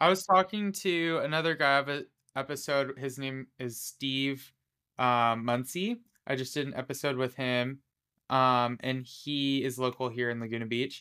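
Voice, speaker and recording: Someone with an American accent talks at a moderate pace in a bright, sharp tone with ordinary pitch variation, in a very clean recording with a silent background. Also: man, medium pitch for a man. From southern California. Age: 20s. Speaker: podcast host and barista. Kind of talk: casual interview chat.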